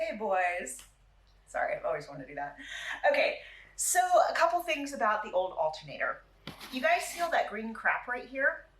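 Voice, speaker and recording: Speaking at a fairly quick pace in an animated tone, a woman leaves long, frequent pauses. Room echo is audible. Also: big swings in loudness. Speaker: car repair video host. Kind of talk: tutorial. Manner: fast.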